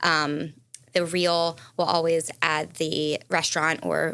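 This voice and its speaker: In a very clean recording with a silent background, a woman speaks at a fairly low pitch. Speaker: food influencer. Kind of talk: casual interview. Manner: fast.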